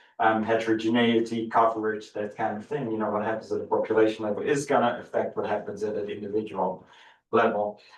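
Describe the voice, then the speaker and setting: Audible room echo surrounds a man's voice. He talks at a very fast pace in a monotone, flat intonation. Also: medium pitch for a man. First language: Dutch. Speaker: professor. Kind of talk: lecture. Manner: hesitant, repeats words.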